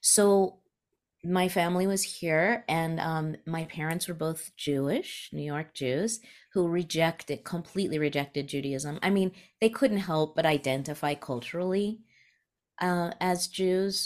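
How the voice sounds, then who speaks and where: A woman's ordinary speaking voice, fairly low in pitch and fairly slow, with ordinary pitch variation. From New Mexico, US (raised from age eleven). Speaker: spiritual teacher and author. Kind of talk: interview conversation.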